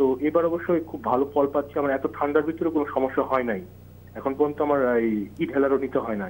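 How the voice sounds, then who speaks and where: A man with a fairly high pitch and an unremarkable speaking voice talks with ordinary pitch variation. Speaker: TV phone-in caller. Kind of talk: viewer question.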